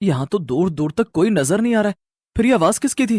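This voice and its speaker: Using a cartoonish character voice, a man talks very fast at a high pitch. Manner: anxious, stammering.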